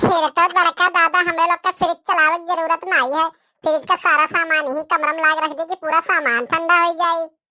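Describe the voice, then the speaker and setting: A cartoonish character voice, monotone and flat, at a fairly quick pace with hardly any pauses, in a dry, close sound with no echo. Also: woman, extremely high pitch for a woman. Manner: loud rustic chatter.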